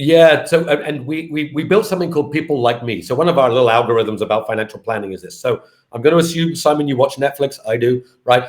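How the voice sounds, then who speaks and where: This man's pitch is fairly high with ordinary variation, and he talks at a very fast pace. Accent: British. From UK. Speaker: fintech company founder and CEO. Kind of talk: interview.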